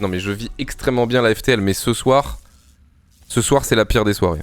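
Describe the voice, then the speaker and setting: Moving at a moderate speed, the voice shows ordinary variation in pitch. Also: man. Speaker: StarCraft streamer and player. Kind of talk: live stream commentary. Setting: home streaming setup.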